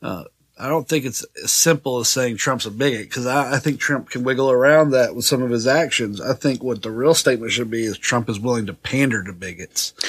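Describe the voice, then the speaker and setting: In a normal speaking voice, a man talks at a fairly quick pace with ordinary pitch variation and hardly any pauses. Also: medium pitch for a man. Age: 40s. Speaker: podcast co-host. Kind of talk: casual banter. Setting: studio.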